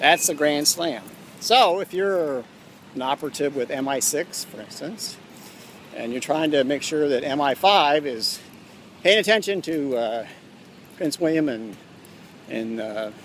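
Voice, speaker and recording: Over noticeable background noise, a man with a fairly high pitch and lively intonation talks at a fairly slow pace with long, frequent pauses. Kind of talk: rambling monologue. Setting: church. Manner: quiet; halting.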